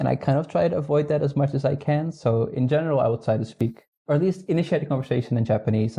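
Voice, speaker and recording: Over a quiet background, a man with a Dutch accent talks at a very fast pace in a dark, mellow tone. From northern Netherlands. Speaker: astronomer. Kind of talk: casual interview chat.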